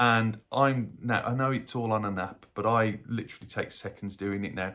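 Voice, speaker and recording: A man with a Birmingham accent speaks at a fairly low pitch with ordinary pitch variation, on a very clean recording with a silent background. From Birmingham, England. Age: 50s. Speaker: health vlogger and paramedic. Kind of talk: casual vlog talk to camera.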